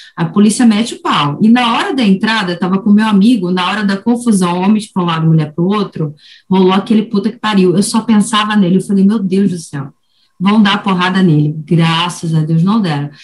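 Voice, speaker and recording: A woman talks at a fairly quick pace with a medium pitch. Her voice is somewhat breathy, with ordinary pitch variation. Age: 40s. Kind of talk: casual chat.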